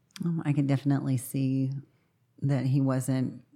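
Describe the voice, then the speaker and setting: A man's medium-pitched voice, dark and mellow in tone, at a moderate pace on a very clean recording with a silent background. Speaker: recovery counselor, guest's partner. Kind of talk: casual interview.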